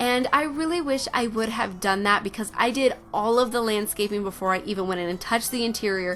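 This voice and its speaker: A woman with an American accent talks at a fairly quick pace in a fairly high voice. Noticeable background noise runs under her speech. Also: ordinary pitch variation. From Oregon, US Pacific Northwest. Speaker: Sims game builder and video creator. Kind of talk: casual voiceover commentary over gameplay. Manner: chatty with frequent fillers.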